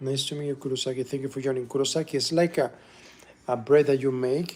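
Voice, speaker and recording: Fairly even intonation carries a Spanish accent over noticeable background noise. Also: man. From Venezuela. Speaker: musician and livestreamer. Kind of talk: casual livestream cooking chat.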